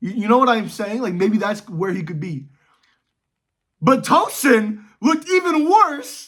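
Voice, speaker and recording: A man speaks at a fairly slow pace in a high voice, his animated tone swinging very widely in pitch. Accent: American. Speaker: football YouTuber. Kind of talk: casual commentary vlog. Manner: animated, casual with fillers.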